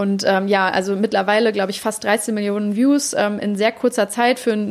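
A woman talks at a fairly quick pace and a fairly high pitch. Her intonation is fairly even, with noticeable background noise. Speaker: podcast host. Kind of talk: casual interview.

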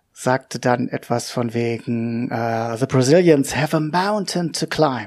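The man's intonation is lively. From Hannover, northern Germany. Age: 40s. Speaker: podcaster talking about his depression. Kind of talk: personal monologue. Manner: halting, many fillers.

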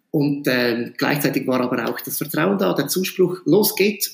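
This man talks at a moderate pace with vocal fry, a fairly high pitch, and ordinary pitch variation. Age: 40s. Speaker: school principal. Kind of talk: interview.

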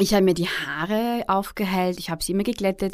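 A woman's medium-pitched voice in a Viennese accent, with ordinary pitch variation, on a very clean recording with a silent background. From Austria, Vienna. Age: 30s. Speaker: blogger and author. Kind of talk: interview. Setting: studio.

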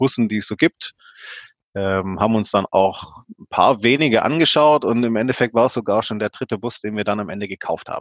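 A man talks at a moderate pace and a medium pitch. He has an ordinary speaking voice. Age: 30s. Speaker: engineer and hobby van builder. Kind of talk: interview.

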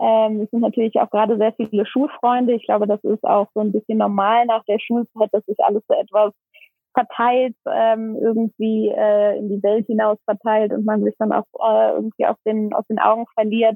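Her intonation flat and monotone, a woman talks at a moderate pace at a fairly high pitch. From Germany, Aachen. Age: 20s. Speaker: NGO founder, social worker. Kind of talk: interview. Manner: hesitant, many filler sounds.

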